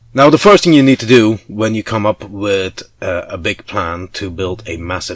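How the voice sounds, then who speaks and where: A man is speaking. He keeps a moderate pace with ordinary pitch variation. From Belgium (Flanders). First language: Dutch. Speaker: hobbyist vlogger. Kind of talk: casual vlog walkthrough. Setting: home attic. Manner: hesitant, many fillers.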